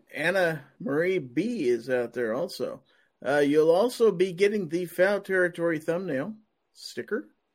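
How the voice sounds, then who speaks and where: A man speaks with a Midwestern US accent at a high pitch. His pace is fairly slow and his intonation lively. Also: very clean recording, silent background. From Kansas. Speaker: podcast host. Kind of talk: live-streamed panel chat. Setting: live stream.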